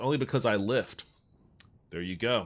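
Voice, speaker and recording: In an unremarkable speaking voice, a man speaks at a moderate pace with lively intonation, recorded very cleanly against a silent background. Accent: American. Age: 30s. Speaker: gaming streamer. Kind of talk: casual chat. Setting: live stream.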